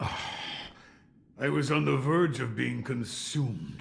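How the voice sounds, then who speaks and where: A man's raspy put-on character voice, medium in pitch with very wide pitch swings, at a fairly slow pace with audible echo. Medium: video game. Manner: terse.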